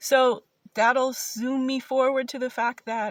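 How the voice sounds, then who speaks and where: The woman's voice is somewhat breathy. The sound is dry and close, with no echo. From US Midwest, Ohio. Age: 50s. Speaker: independent philosopher. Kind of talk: video pitch monologue. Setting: self-recorded video.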